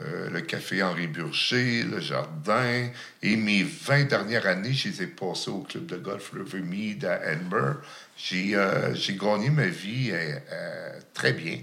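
A man's fairly low, very slow speech with very wide pitch swings, amid audible room echo and noticeable background noise. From Outaouais, Quebec (Gatineau). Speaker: chef living with HIV. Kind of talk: testimony. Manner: halting.

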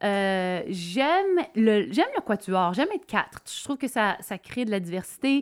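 On a very clean recording with a silent background, a woman with a Quebec accent speaks in a fairly high pitch with very wide pitch swings and hardly any pauses. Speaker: country musician. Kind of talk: casual chat.

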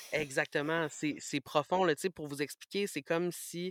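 A man with a Quebec accent speaks very slowly at a fairly high pitch with fairly even intonation, in a dry, close sound with no echo and a very clean recording with a silent background. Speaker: radio host. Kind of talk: interview testimony.

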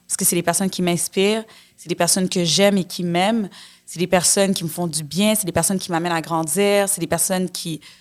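In a very clean recording with a silent background, a woman with a fairly low pitch talks at a fairly quick pace with big swings in loudness. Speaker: actress. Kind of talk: casual chat. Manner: animated.

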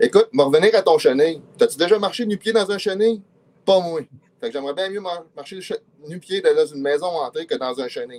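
A high-pitched man with a Quebec accent talks at a moderate pace with lively intonation. His loudness swings widely, and he takes long, frequent pauses. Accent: Québécois French. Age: 50s. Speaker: comedian. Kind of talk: comedic quiz show.

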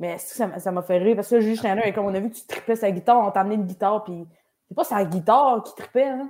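A woman with a Quebec accent talks at a very fast pace, her tone dark and mellow. Her pitch is medium with ordinary variation, and her loudness swings widely. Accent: Québécois French. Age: 20s. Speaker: comedian. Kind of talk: casual interview. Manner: talkative.

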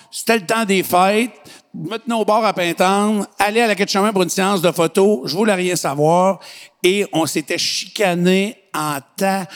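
A man speaks at a fairly slow pace. His voice is high-pitched. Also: ordinary pitch variation. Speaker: podcast host. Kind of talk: casual chat.

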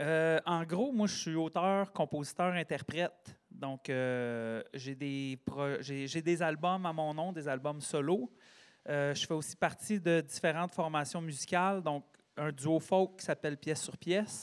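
The man's pitch is fairly high and varies in an ordinary way, and he speaks at a very slow pace in a very clean recording with a silent background. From Quebec, Sherbrooke region. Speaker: singer-songwriter and teacher. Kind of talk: casual interview chat.

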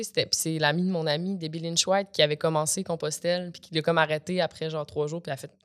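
In a very clean recording with a silent background, a woman speaks fairly quickly at a fairly low pitch in a normal speaking voice. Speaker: actress and comedian. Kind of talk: casual chat. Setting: studio.

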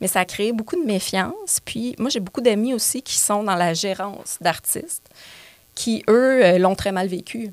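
A woman's fairly high voice at a fairly slow pace. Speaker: comedian and actress. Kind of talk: casual chat. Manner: animated.

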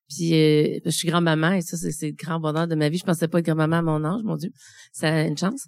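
Speaking at a fairly quick pace, a woman uses a very deep, low pitch with fairly even intonation. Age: 40s. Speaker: midwife living with early-onset Alzheimer's. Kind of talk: testimony. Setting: stage with audience. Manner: halting.

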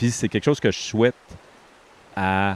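A man's fairly low voice, fairly even in intonation, with a dry, close sound and no echo. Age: 50s. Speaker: podcast host. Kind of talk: casual chat. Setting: outdoors.

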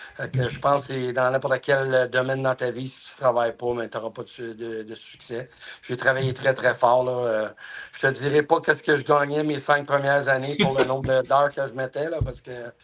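Speaking at a moderate pace with hardly any pauses, a man keeps a monotone, flat intonation at medium pitch. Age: 50s. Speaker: hockey player agent. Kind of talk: interview.

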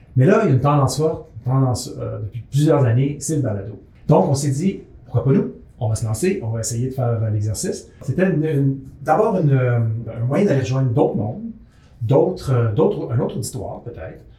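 A man speaks at a medium pitch and a fairly quick pace. Audible room echo and noticeable background noise run through the clip. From urban Quebec. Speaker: agronomist and editor-in-chief. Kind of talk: casual chat. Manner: halting, many repetitions.

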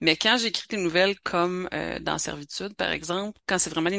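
The voice has a bright, sharp tone and a Quebec accent, with a dry, close sound and no echo. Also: woman. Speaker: author. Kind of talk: interview.

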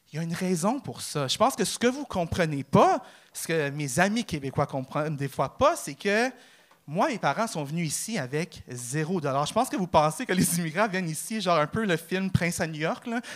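A man talks at a moderate pace in a high pitch, his intonation lively and his tone animated. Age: 30s. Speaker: amateur comedian, real estate broker. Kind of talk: stand-up. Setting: stage with audience.

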